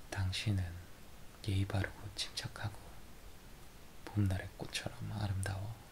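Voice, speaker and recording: Whispering from a man at a fairly slow pace, with long, frequent pauses. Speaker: ASMR creator. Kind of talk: story reading with dialogue. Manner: whispered.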